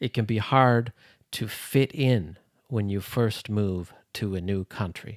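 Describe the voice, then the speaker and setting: A man with a Canadian accent at a fairly slow pace, ordinary pitch variation, and a dry, close sound with no echo on a very clean recording with a silent background. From Canada. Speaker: English teacher. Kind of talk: English lesson podcast. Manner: slow, clear.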